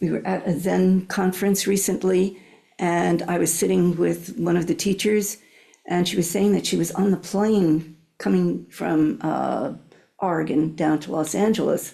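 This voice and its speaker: A woman's fairly low voice with vocal fry and a dark, mellow tone, fairly slow and fairly even in intonation, on a very clean recording with a silent background. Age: old. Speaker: Zen teacher. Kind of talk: dharma talk. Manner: halting, with many fillers.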